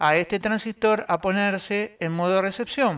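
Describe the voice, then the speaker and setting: In a very clean recording with a silent background, a man speaks fairly slowly at a high pitch. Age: 60s. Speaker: electronics hobbyist and radio amateur. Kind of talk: tutorial. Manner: hesitant, many fillers.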